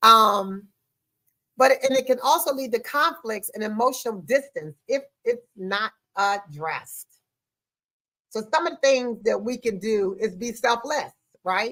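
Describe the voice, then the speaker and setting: A woman speaks loudly in an animated tone at a fairly high pitch, with ordinary pitch variation, a moderate pace, and long, frequent pauses. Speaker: podcast host. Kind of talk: podcast monologue on relationships.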